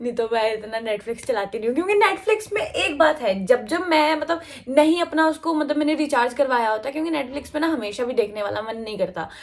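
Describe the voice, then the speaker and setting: A woman speaks at a moderate pace with hardly any pauses. Her high voice makes very wide pitch swings. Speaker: college student vlogger. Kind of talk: casual vlog. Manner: chatty, filler-heavy.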